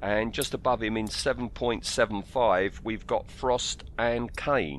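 A man with an English accent, vocal fry, and ordinary pitch variation. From England. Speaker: film podcast co-host. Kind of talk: casual chat. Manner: halting.

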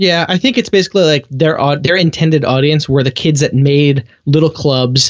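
A man with a fairly high pitch talks at a moderate pace with ordinary pitch variation in an ordinary speaking voice. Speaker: movie podcast guest. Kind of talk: casual chat.

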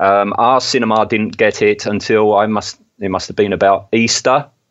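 In an English accent, a man delivers his words fairly slowly. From England. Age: 50s. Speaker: podcast host. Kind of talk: casual chat.

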